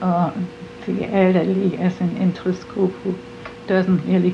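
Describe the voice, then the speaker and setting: Over noticeable background noise, a woman speaks fairly slowly in a medium pitch. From Germany, Hamburg area. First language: German. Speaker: award recipient, civic activist. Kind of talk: interview testimony.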